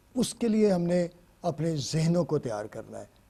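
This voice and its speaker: The recording is very clean, with a silent background. A man speaks in a dark, mellow tone with ordinary pitch variation. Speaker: pastor, guest speaker. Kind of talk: sermon, Bible message. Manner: earnest, preaching.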